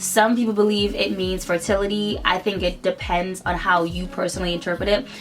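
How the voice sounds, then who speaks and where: Music plays in the background as a woman speaks at a fairly quick pace. Her pitch is medium and her intonation fairly even. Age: 20s. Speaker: beauty vlogger. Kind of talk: casual talk to camera.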